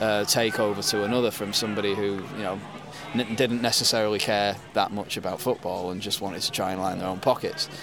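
Over background music, a man with a Yorkshire accent and a fairly low pitch talks very fast with fairly even intonation. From West Yorkshire, England. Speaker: football club founder and fan. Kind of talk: casual chat. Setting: at a football ground, recording live.

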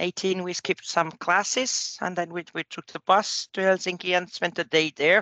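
In a Finnish accent, a woman speaks at a fairly low pitch and a moderate pace. Her intonation is fairly even, and the sound is dry and close with no echo. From Finland. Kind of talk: casual chat. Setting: phone call.

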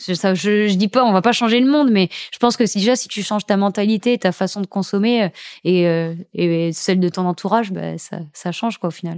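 In a normal speaking voice, a woman talks at a moderate pace with ordinary pitch variation, the sound dry and close with no echo and the recording very clean against a silent background. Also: medium pitch for a woman. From Saint-Martin (Caribbean). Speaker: professional surfer. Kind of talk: casual interview. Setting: recorded at guest's home. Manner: casual, slangy.

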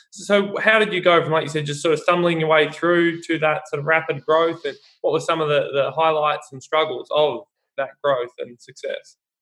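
This man speaks with an Australian accent at a moderate pace. His pitch is fairly high and his intonation fairly even. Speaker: podcast host. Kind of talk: interview.

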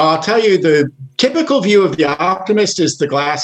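A man speaks with a plain, everyday voice. His pace is moderate and his pitch varies in an ordinary way. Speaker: volunteer organization leader. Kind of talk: casual interview.

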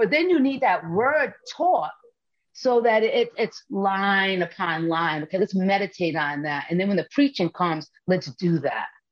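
With a plain, everyday voice, a woman speaks at a fairly slow pace with lively intonation. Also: medium pitch for a woman. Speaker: missionary preacher. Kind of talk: testimony in interview.

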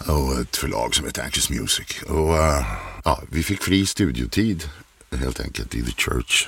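Very deep and low in pitch, a man talks at a fairly slow pace with lively intonation. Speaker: voice-over artist. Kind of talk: casual chat.

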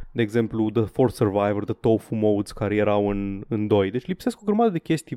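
Here is an unremarkable speaking voice belonging to a man. He talks at a fairly quick pace with ordinary pitch variation. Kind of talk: mock pitchman patter, comedic skit.

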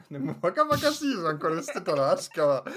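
Very wide pitch swings mark this man's speech at a moderate pace. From Germany. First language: German (speaking Japanese). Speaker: guest. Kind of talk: casual chat.

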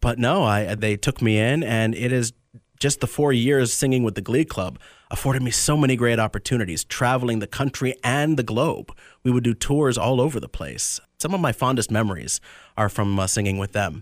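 In an American accent, a man with a plain, everyday voice speaks at a medium pitch and fairly quick pace with ordinary pitch variation, on a very clean recording with a silent background and a dry, close sound with no echo. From Tampa area, Florida. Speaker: deacon about to be ordained priest. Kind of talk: radio interview.

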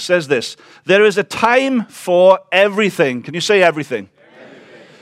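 Speaking with a Welsh accent, a man uses lively intonation at a high pitch. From Wales. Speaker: visiting preacher. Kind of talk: sermon. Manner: fast.

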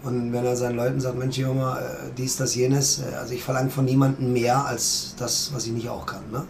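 Over noticeable background noise and audible room echo, a man talks at a medium pitch in a monotone, flat intonation. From Germany, circus family. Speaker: circus director. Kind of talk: interview. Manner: fast.

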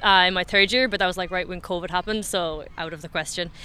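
Her tone is bright and sharp as the woman speaks in a Cork accent. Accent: Irish (Cork). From Ireland, West Cork. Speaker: amateur Gaelic football player. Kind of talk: interview.

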